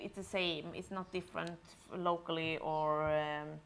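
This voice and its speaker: This is a woman speaking. She has a Swedish accent. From Sweden. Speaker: film director. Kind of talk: Q&A at presentation.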